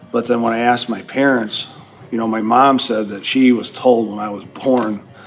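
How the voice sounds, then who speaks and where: The man's voice sits at a medium pitch, monotone and flat in intonation. He speaks at a moderate pace with music in the background. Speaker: electrical power distribution instructor. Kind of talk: interview answer.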